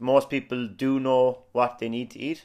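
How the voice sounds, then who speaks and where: Recorded very cleanly against a silent background, a man with an Irish accent speaks at medium pitch and a moderate pace. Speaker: personal trainer. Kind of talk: casual chat.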